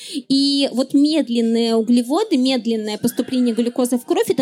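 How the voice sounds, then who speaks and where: A woman's high-pitched voice, dry and close with no echo, over noticeable background noise. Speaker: neuroscientist and science popularizer. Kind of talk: live public talk. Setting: stage with audience at festival.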